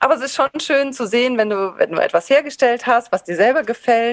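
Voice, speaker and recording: In a normal speaking voice, a woman talks with a fairly high pitch and ordinary pitch variation, the sound dry and close with no echo. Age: 40s. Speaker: former teacher turned potter. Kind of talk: interview.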